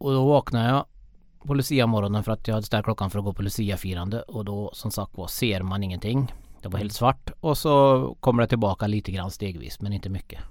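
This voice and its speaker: A man's fairly low-pitched voice, a plain, everyday voice, at a fairly quick pace with ordinary pitch variation, in a very clean recording with a silent background. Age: 30s. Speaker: para sports worker with visual impairment. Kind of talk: interview. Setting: studio.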